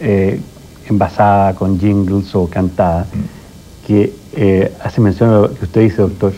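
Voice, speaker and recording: A man talks at a fairly slow pace with a fairly low pitch. There is light background noise. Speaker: TV show host interviewing guests. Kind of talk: interview, conversational host talk. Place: studio.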